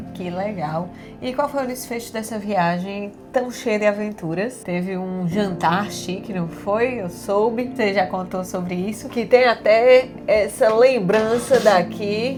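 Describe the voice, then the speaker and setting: A woman speaks at a very slow pace with hardly any pauses, her pitch medium and its variation ordinary. Music plays in the background, and her loudness swings widely. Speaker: podcast host interviewing her grandfather. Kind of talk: casual interview questions. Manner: enthusiastic.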